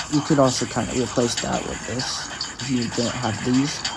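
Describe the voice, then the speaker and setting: Moderately paced male speech with audible room echo and noticeable background noise. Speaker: gaming youtuber. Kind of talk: gameplay tutorial. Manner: halting, with many restarts; raised pitch on purpose.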